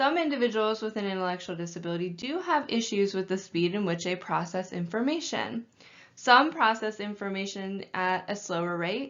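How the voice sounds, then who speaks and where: Woman at medium pitch and moderate pace, a normal speaking voice, lively intonation. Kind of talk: training lecture.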